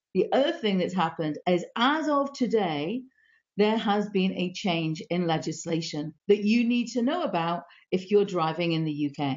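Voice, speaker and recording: A woman with a British accent speaks at a moderate pace. Her medium-pitched voice has lively intonation. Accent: UK. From UK. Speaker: live stream host. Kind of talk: live stream interview.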